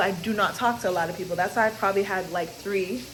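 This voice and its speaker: A woman speaks loudly at a medium pitch and a fairly quick pace, her tone energetic. Audible room echo and noticeable background noise fill the recording. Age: 20s. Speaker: vlogger. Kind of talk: casual chat. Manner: loud, energetic on camera.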